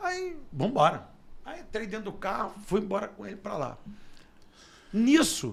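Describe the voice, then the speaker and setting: A man's high-pitched voice with very wide pitch swings, big swings in loudness, long, frequent pauses and audible room echo. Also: fairly slow pace. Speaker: radio announcer and sports journalist. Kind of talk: interview storytelling. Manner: animated.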